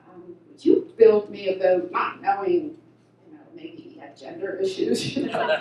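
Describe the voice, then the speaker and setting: Her pitch swings very widely as a woman speaks fairly high over noticeable background noise. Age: 70s. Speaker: vintage raceboat racer, award recipient. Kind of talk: award acceptance speech. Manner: halting, many repeated words.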